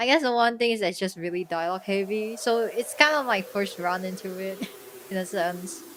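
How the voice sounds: A woman speaks at a moderate pace in a medium pitch, with ordinary pitch variation and a fairly bright, deadpan tone.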